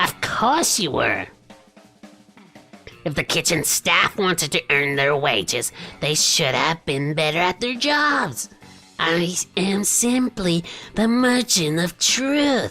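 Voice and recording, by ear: A man's put-on character voice, high-pitched and fairly slow, over faint background music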